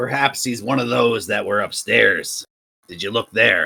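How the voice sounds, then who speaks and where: The voice is a man's put-on character voice. Its texture is raspy. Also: medium pitch for a man, moderate pace. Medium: actual play.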